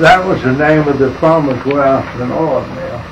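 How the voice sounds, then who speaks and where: Man with a North Carolina accent, fairly high-pitched, at a fairly slow pace with ordinary pitch variation, audible room echo and noticeable background noise. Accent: Southern US (North Carolina). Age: 90s. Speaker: retired businessman. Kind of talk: oral history interview. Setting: his office. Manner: halting.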